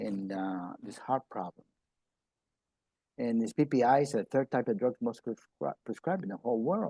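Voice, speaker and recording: A man's medium-pitched, dark and mellow voice with lively intonation at a moderate pace, broken by long, frequent pauses, in a dry, close sound with no echo. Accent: American. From Peru, then US from childhood. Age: 70s. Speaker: health presenter. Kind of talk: informal health talk. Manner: halting, many repetitions.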